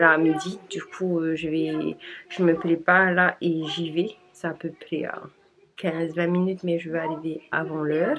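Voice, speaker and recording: Noticeable background noise sits under a woman's fairly low voice. She speaks at a moderate pace with monotone, flat intonation. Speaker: vlogger, mother. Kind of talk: casual vlog. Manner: hesitant, many fillers.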